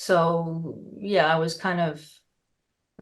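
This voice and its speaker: Speaking with an American accent, a woman uses a fairly low pitch and monotone, flat intonation amid audible room echo. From United States. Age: 60s. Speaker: osteopath and naturopath. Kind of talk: interview.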